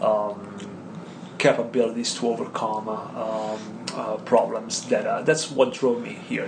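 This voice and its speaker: Here a man talks at a moderate pace and a medium pitch. Noticeable background noise runs underneath. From Italy. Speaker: kickboxing coach. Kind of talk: casual interview chat. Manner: halting, many fillers.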